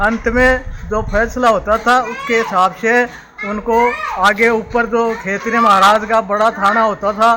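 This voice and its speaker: A man's extremely high-pitched, raised and projected voice, flat and monotone, over noticeable background noise. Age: 70s. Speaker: village elder. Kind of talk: oral history interview.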